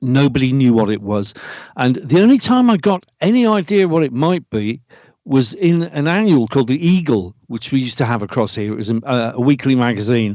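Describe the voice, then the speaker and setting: A man with a British accent, medium in pitch, with a dark, mellow tone and very wide pitch swings against a quiet background. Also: fairly quick pace. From Britain. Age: 60s. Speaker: UFO experiencer. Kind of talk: podcast interview. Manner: halting.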